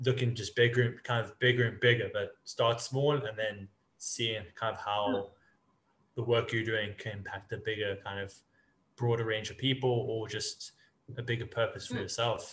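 Speaking at a moderate pace, the man keeps a medium pitch and a monotone, flat intonation. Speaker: podcast host. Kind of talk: casual interview chat.

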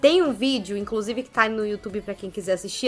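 This woman's bright, sharp tone sits at a medium pitch with ordinary pitch variation. The recording is very clean, with a silent background. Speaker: film critic. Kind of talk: casual chat.

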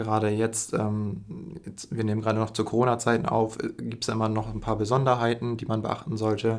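A plain, everyday voice, fairly quick and fairly even in intonation, with hardly any pauses. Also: man, medium pitch for a man. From northern Germany, Emden (East Frisia). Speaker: university student. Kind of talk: casual podcast chat.

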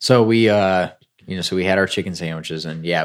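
Vocal fry marks this fairly quick delivery. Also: man. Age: 20s. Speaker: podcast co-host. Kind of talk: casual chat. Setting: hotel room.

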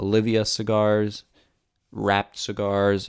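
Over a silent background in a very clean recording, a man with a Canadian accent speaks at a fairly low pitch. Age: 20s. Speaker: podcast host. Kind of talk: casual solo podcast monologue. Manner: halting, many fillers.

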